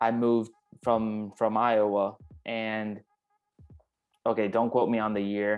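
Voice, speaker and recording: A man speaks with a Puerto Rican accent. His pitch is fairly low and his intonation monotone and flat. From Puerto Rico. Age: 20s. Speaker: sports photographer. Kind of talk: casual interview.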